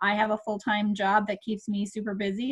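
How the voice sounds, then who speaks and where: A woman talks with an American accent at a fairly high pitch. Her voice is somewhat breathy. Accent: Minnesota accent, per others. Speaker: direct sales consultant. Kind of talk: casual group video chat introduction. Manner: hesitant with many fillers.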